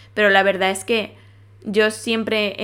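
The speaker is a woman. Her pitch is medium. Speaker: podcast host. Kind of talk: casual monologue. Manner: fast.

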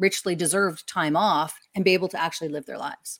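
A woman with a Canadian accent, an ordinary speaking voice, fairly low pitch and fairly even intonation, on a very clean recording with a silent background. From Canada. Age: 40s. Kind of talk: interview. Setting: live video stream.

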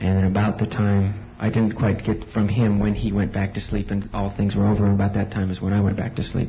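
Against noticeable background noise, a man talks fairly quickly with hardly any pauses, in a fairly low pitch and monotone, flat intonation. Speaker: congregation member giving testimony. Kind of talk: testimony.

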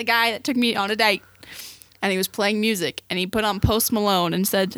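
A woman talks in a plain, everyday voice at medium pitch and a moderate pace, with fairly even intonation and a dry, close sound with no echo. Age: 20s. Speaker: podcast co-host, student photographer. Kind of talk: casual chat.

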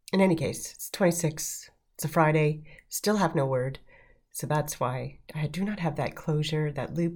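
On a very clean recording with a silent background, a woman with a very deep, low pitch speaks fairly slowly in a somewhat breathy voice, using ordinary pitch variation. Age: 50s. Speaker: podcast host, mental health professional. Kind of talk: solo podcast monologue. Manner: hesitant with many fillers.

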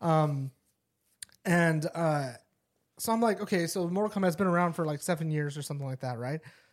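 A man with a fairly high pitch and ordinary pitch variation talks at a fairly quick pace, broken by long, frequent pauses. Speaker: podcast host. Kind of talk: casual chat.

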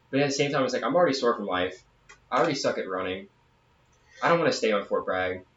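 A man talks at a very fast pace and medium pitch, with lively intonation. He leaves long, frequent pauses amid noticeable background noise. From southern Louisiana. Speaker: podcast co-host, soldier. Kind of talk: casual chat.

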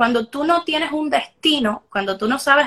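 A woman speaks in a raised, projected voice at a high pitch. Her pace is fairly slow, with ordinary pitch variation. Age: 20s. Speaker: life coach. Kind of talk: interview.

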